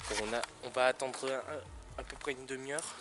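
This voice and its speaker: The speech goes at a very fast pace. Noticeable background noise runs underneath. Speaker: vlogger. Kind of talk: casual vlog narration. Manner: soft-spoken.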